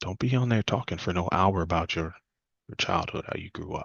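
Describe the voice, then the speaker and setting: Very deep, low male voice, fairly quick in pace and ordinary in its pitch variation. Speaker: questions coach and speaker. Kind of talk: presentation talk. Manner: fast.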